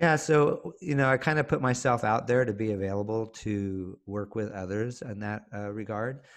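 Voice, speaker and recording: With a Californian accent, this speaker talks at a moderate pace with hardly any pauses and ordinary pitch variation over a quiet background. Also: man, medium pitch for a man. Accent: American (California). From Zambia and Nigeria, then California. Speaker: librarian and mindfulness consultant. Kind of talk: interview conversation.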